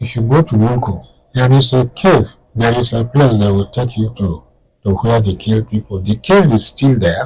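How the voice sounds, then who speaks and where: At a moderate pace, a man with a somewhat breathy voice speaks at a medium pitch with ordinary pitch variation. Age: 80s+. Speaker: historian and author. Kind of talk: interview. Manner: halting.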